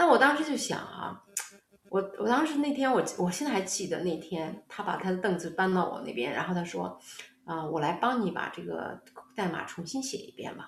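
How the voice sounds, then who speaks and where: A woman speaks with very wide pitch swings and big swings in loudness, over noticeable background noise and audible room echo. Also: medium pitch for a woman, moderate pace. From China, Xuzhou, Jiangsu. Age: 50s. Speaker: tech executive and lecturer. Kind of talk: interview. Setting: video call.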